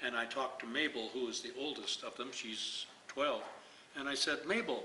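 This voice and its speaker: A man speaks at a moderate pace. Audible room echo and noticeable background noise come through. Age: old. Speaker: retired priest and activist. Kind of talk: interview. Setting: community event.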